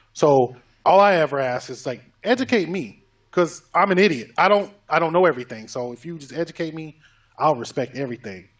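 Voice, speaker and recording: A man with a plain, everyday voice talks at a fairly quick pace, his fairly high pitch rising and falling in a lively way. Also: big swings in loudness. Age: 30s. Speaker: podcast co-host. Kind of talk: casual podcast chat.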